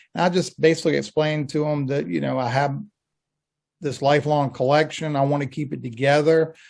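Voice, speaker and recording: A man with a plain, everyday voice talks at a fairly quick pace and a fairly high pitch, his intonation fairly even over a quiet background. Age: 60s. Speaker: fan collector. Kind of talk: casual chat.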